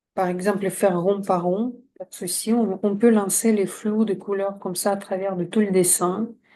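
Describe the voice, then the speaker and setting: Soft-spoken, a woman at medium pitch talks with a dark, mellow tone and monotone, flat intonation. She leaves hardly any pauses, and her loudness swings widely. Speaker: coach and drawing trainer. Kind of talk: tutorial. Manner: slow.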